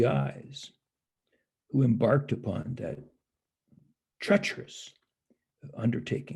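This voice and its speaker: A man with an American accent talks in a dark, mellow tone marked by vocal fry. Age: 70s. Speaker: historian and professor. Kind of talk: interview. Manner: halting.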